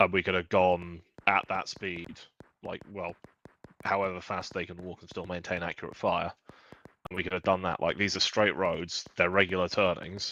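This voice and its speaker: A man with a British accent speaks at a moderate pace in a very deep, low pitch, with a bright, sharp tone. His intonation is monotone and flat, while his loudness swings widely. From Britain. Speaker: gamer. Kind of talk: casual chat.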